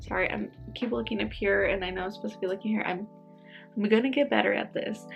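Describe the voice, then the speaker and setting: Music can be heard in the background. A woman talks over it. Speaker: speech language pathologist. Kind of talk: casual talk to camera.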